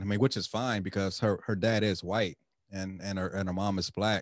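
An unremarkable speaking voice, a man's fairly low pitch comes at a fairly quick pace with fairly even intonation, the sound dry and close with no echo against a quiet background. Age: 40s. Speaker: podcast host. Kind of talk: casual chat.

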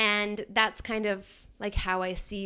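A woman with an American accent has a bright, sharp tone and medium pitch, captured in a very clean recording with a silent background. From Germany (American parents), then Virginia. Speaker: event coordinator. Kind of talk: casual chat.

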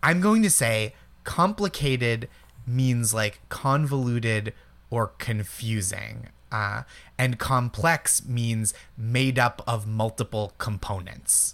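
At a very slow pace, a man with a Boston accent speaks at medium pitch with ordinary pitch variation. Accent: Boston-area American. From Eastern Massachusetts. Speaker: comedian and TV writer. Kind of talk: casual chat. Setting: remote call from home.

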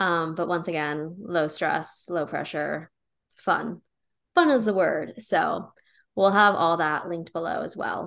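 Fairly low-pitched, a woman with an American accent and an unremarkable speaking voice talks at a fairly slow pace with ordinary pitch variation. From rural Pennsylvania. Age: 20s. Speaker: podcast co-host, wellness content creator. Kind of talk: casual chat.

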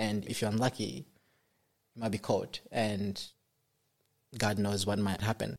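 Fairly slow and marked by long, frequent pauses, this voice carries vocal fry and fairly even intonation. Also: man, fairly low pitch for a man. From Congo, raised in African refugee camps, then Norway. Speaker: architecture student. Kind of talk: casual interview storytelling. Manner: humorous, hesitant with fillers.

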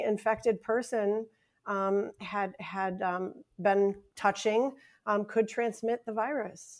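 With an American accent, a woman speaks in a plain, everyday voice at a fairly high pitch and with fairly even intonation, in a very clean recording with a silent background. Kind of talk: casual podcast chat.

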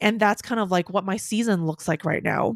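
Fairly high female voice in a dry, close sound with no echo. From Hong Kong. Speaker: podcast host, career coach. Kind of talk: casual monologue.

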